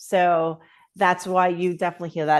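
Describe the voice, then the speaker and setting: A woman is speaking. She has a New York accent. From Queens, New York City. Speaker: author and holistic arts practitioner. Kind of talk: interview.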